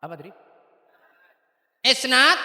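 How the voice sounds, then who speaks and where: A man speaks in a raised, projected voice with audible room echo. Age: 70s. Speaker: Islamic cleric. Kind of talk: religious address to students and parents.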